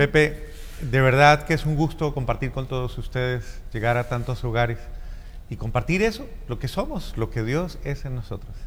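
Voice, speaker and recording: Audible room echo surrounds a man speaking at a moderate pace and medium pitch. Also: ordinary pitch variation. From Colombia, Cali. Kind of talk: interview. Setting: church.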